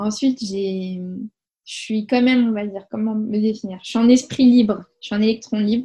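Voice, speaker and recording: Somewhat breathy and dark, mellow in tone, a woman's voice keeps a moderate pace and fairly even intonation. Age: 20s. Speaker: mother telling her home birth story. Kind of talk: testimony. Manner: hesitant, many fillers and repetitions.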